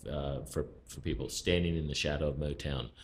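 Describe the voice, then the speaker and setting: A man with a very deep, low pitch and vocal fry speaks at a moderate pace. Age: 60s. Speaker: music expert panelist. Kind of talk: casual chat. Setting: podcast studio.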